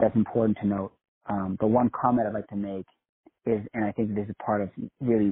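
In an unforced reading voice with fairly even intonation, the speech plays over a quiet background.

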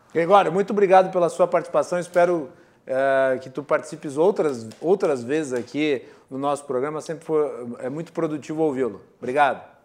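In a plain, everyday voice, a man speaks at a moderate pace and a fairly high pitch. Ordinary pitch variation comes through over a quiet background. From Rio Grande do Sul, Serra Gaúcha (Farroupilha). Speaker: TV talk show host. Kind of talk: political debate moderation. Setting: TV studio.

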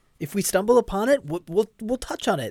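A man's pitch swings very widely. The sound is dry and close with no echo, on a very clean recording with a silent background. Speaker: professional musician. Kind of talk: casual chat.

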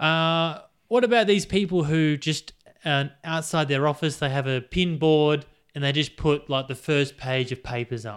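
In a very clean recording with a silent background, a man speaks at a moderate pace. His pitch is fairly high, with ordinary variation. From Australia. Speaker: podcast co-host. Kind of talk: casual banter podcast.

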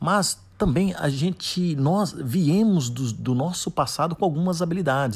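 Recorded very cleanly against a silent background, a man speaks with lively intonation and a somewhat breathy voice. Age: 40s. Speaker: podcaster on soft skills and coaching. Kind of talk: solo podcast monologue. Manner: hesitant, many fillers.

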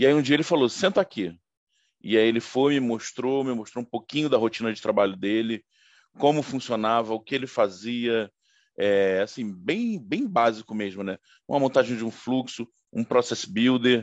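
A normal speaking voice from a man at medium pitch and moderate pace, ordinary pitch variation, recorded with a dry, close sound with no echo and a quiet background. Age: 40s. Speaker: IT consultant, former sales manager. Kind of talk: interview.

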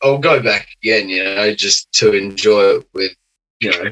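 A man with an Australian accent, fairly slow in pace, with lively intonation. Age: 30s. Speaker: podcast guest. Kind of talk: casual chat. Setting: video call.

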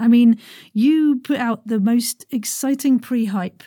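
Over a silent background in a very clean recording, a woman with a fairly high pitch speaks at a moderate pace, her somewhat breathy voice dark and mellow in tone, with lively intonation. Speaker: podcast host. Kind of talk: casual interview chat. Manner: animated.

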